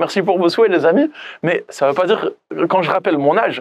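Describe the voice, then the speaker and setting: High-pitched male voice, fairly quick in pace, its pitch varying in an ordinary way. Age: 30s. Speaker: life coach and author. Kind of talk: personal vlog monologue. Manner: casual, conversational with fillers.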